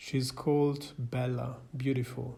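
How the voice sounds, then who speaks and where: Against audible room echo, a man's somewhat breathy, dark, mellow voice holds a medium pitch in a monotone, flat delivery. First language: not English. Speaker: psychiatrist and film commentator. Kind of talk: scripted film analysis narration. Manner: formal.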